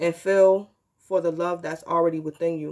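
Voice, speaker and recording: Against a quiet background, the speaker uses a normal speaking voice at a moderate pace. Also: woman. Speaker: tarot reader. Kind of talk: reading a guidebook text aloud in a tarot vlog. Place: home room. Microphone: phone near.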